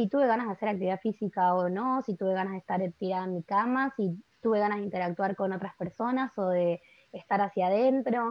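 A woman with a Rioplatense accent at a fairly quick pace. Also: medium pitch for a woman, ordinary pitch variation. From Argentina, Buenos Aires. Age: 20s. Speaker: workshop facilitator on menstrual cycles. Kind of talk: podcast interview.

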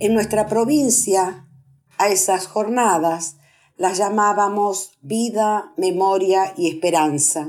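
In a very clean recording with a silent background, a woman at medium pitch talks at a very slow pace with ordinary pitch variation. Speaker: human rights activist, Mothers of Plaza de Mayo member. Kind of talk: radio interview, formal speech.

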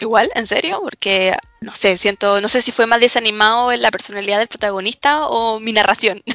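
Against noticeable background noise, a woman talks at a fairly quick pace with a fairly high pitch and hardly any pauses. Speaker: student podcast co-host. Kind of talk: casual chat about anime and series. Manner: animated, laughing often.

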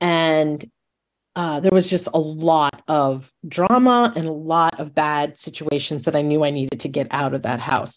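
Here a woman speaks with an American accent. Her voice is very deep and low, at a fairly slow pace. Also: ordinary pitch variation. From New York State. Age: 60s. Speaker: retired teacher. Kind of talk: interview conversation.

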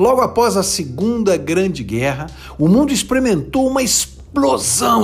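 At a fairly slow pace, a man speaks at a high pitch with very wide pitch swings. There is audible room echo and music in the background. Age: 50s. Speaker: business speaker. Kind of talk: motivational talk.

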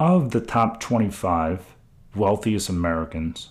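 In an unremarkable speaking voice, a man talks at a fairly slow pace, his fairly low pitch carrying lively intonation. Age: 40s. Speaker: podcast host and investment advisor. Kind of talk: solo podcast monologue.

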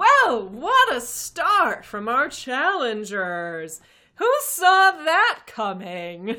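A put-on character voice, female-sounding and high-pitched, with very wide pitch swings and a very slow pace. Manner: gushing, showman.

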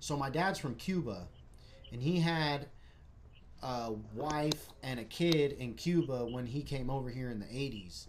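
Audible room echo surrounds a man speaking at a medium pitch and a fairly slow pace with ordinary pitch variation. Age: 20s. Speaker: livestream host. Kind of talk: casual chat. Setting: live stream. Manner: animated.

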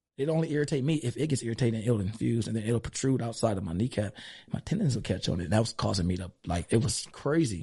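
A man with an American accent talks very fast, his medium-pitched voice dark, mellow and somewhat breathy, with lively intonation. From East Los Angeles. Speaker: gym owner and strength coach. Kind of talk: casual interview.

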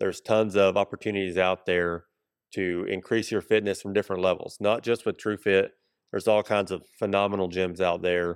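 A man speaks with an Appalachian accent at a fairly low pitch and a fairly quick pace, his intonation monotone and flat. The sound is dry and close with no echo, on a very clean recording with a silent background. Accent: US South (Appalachian Tennessee). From Kingsport, northeast Tennessee. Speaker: gym owner. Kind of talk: casual interview.

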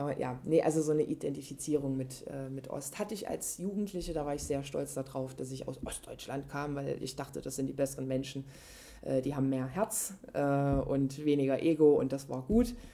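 Her voice is very deep and low, with ordinary pitch variation. The woman talks at a moderate pace. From Leipzig, Saxony, eastern Germany. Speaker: interviewee, contemporary witness of post-reunification youth. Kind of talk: casual conversation.

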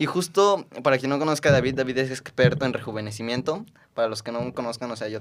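Here a man speaks at a very fast pace. His pitch moves in an ordinary way. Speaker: podcast host. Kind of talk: casual interview. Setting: in person studio.

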